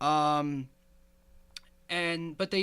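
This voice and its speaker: A man with a Northeast Pennsylvania accent and a bright, sharp tone, in a very clean recording with a silent background. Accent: Northeast Pennsylvania American. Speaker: podcast host. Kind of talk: casual chat.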